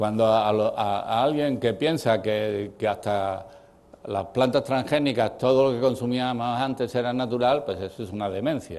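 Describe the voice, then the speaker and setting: A man at medium pitch with ordinary pitch variation, moderate pace and audible room echo. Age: 80s+. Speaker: professor. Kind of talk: lecture. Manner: halting.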